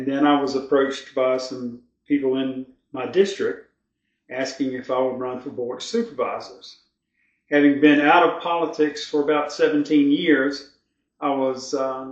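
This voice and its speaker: Here a man speaks in a Virginia accent. He keeps a moderate pace and fairly even intonation. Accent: Southern US (Virginia). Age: 60s. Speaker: local political candidate, retired sheriff. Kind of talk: interview.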